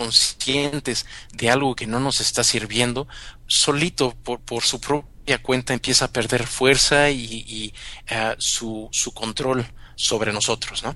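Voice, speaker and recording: Very slowly, a man speaks at a medium pitch with a bright, sharp tone and fairly even intonation. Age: 40s. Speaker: mindfulness teacher. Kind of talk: interview. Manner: halting, with many fillers.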